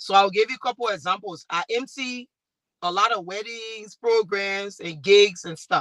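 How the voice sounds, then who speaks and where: Speaking with a Liberian accent, a woman uses a medium pitch and ordinary pitch variation. Her tone is bright and sharp, in a dry, close sound with no echo. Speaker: talk show host and MC. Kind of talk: panel discussion.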